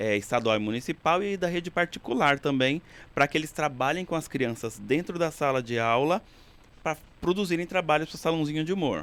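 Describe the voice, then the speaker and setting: Here a man talks at a fairly quick pace with an interior São Paulo accent. His pitch is fairly high, with ordinary variation. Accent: has picked up the Piracicaba. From São Paulo city, Brazil. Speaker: cultural center director. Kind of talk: casual interview.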